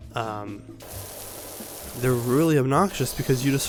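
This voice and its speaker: A soft-spoken man with music in the background. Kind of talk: casual gaming commentary.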